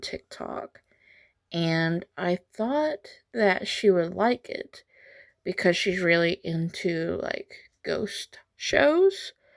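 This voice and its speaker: A soft-spoken woman talks at a very slow pace. The recording is very clean and dry, close-sounding with no echo, against a silent background. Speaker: art youtuber. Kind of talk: casual narration while painting. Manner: quiet, soft-spoken.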